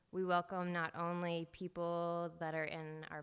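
Recorded very cleanly over a silent background, a woman with a fairly low pitch sounds nervous, her intonation monotone and flat. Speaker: church lunch volunteer. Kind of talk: reading aloud. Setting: church.

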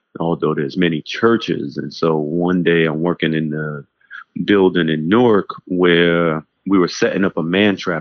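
Speaking with an American accent at a moderate pace, a man uses a very deep, low pitch and fairly even intonation. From New York City (Harlem and the Bronx). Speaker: pastor. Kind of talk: casual interview conversation.

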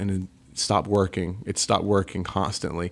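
Southern US accent from a man with a fairly low pitch, at a moderate pace, in a very clean recording with a silent background. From US South. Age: 30s. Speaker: rock band lead singer. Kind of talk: casual interview chat. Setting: studio. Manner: animated.

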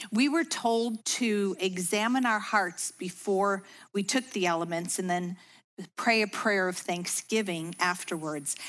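In a very clean recording with a silent background, a normal speaking voice goes at a fairly slow pace with very even loudness. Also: woman, medium pitch for a woman, ordinary pitch variation. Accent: American. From US Midwest, Chicago suburbs. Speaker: women's ministry speaker. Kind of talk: devotional talk.

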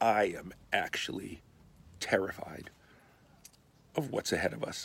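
A man talks at a fairly slow pace with vocal fry. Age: 60s. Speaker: pastor. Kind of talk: short video talk to congregation. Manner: casual, halting with fillers.

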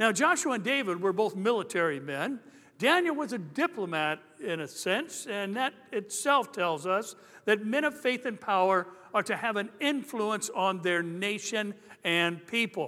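A man speaks in a raised, projected voice at a high pitch, with very wide pitch swings. His tone is bright and sharp, on a very clean recording with a silent background. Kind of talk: sermon. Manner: animated, jokey opening that turns emphatic, call-and-response style; conversational, wry delivery with punchlines.

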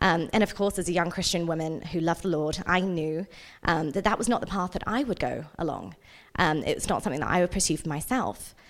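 A woman's fairly low voice with an English accent, fairly quick pace and ordinary pitch variation, on a very clean recording against a silent background. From England. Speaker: nonprofit director. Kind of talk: church talk. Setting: church service.

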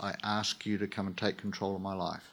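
Over a silent background on a very clean recording, a man speaks. He has a New Zealand accent and a moderate pace. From New Zealand (King Country). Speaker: churchgoer sharing testimony. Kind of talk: testimony. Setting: church stage with audience.

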